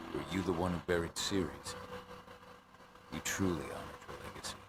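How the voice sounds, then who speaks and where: A man puts on a character voice with a very deep, low pitch. He speaks at a fairly quick pace over clear background noise. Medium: video game.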